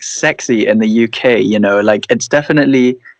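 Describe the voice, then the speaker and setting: A man is speaking. The sound is dry and close, with no echo. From Brunei. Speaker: interviewer. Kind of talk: casual interview. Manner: casual.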